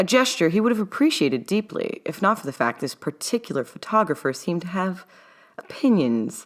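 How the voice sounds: A woman speaks at a moderate pace with a fairly low pitch and a fairly bright tone. The recording is very clean, with a silent background.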